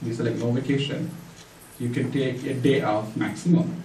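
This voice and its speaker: A man with a Tamil accent and medium pitch speaks with ordinary pitch variation amid noticeable background noise and audible room echo. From India (Tamil-speaking). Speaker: church member giving testimony. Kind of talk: testimony. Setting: church. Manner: halting, many fillers.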